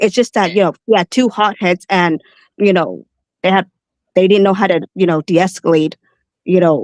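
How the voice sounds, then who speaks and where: Speaking with a non-native accent, a woman uses a medium pitch, fairly even intonation and very even loudness, leaving long pauses often. The sound is dry and close, with no echo. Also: moderate pace, very clean recording, silent background. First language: not English. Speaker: caller. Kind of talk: heated debate. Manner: halting.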